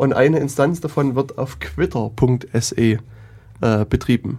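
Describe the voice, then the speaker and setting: Speaking at a very slow pace, the man has a dark, mellow tone with vocal fry and ordinary pitch variation. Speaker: podcast host. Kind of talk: casual chat.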